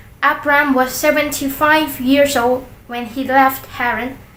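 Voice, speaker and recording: In a room with audible echo, a woman with a Central Highlands Vietnamese accent speaks very slowly in a high pitch with a bright, sharp tone. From Central Highlands of Vietnam. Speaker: YouTuber. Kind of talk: reading aloud. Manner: halting.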